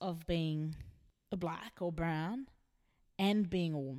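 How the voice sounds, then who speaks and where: A woman with an Australian accent speaks at a fairly slow pace in a fairly low pitch. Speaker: singer-songwriter. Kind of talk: interview. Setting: backstage at a gig.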